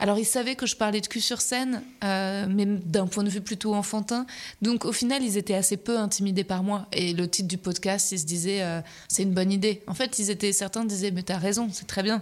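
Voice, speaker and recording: In a very clean recording with a silent background, a woman talks in an ordinary speaking voice at medium pitch and a moderate pace, her intonation fairly even. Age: 30s. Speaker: comedian and podcaster. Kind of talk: casual interview.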